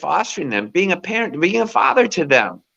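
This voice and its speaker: Very wide pitch swings, vocal fry and a bright, sharp tone at a moderate pace. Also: man. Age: 60s. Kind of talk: interview. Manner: animated.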